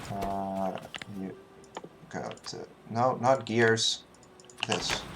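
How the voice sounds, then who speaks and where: Noticeable background noise accompanies speech that unfolds very slowly. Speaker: speedrunner streaming a game run. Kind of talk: live gameplay commentary. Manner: quiet; halting, many fillers and counting aloud.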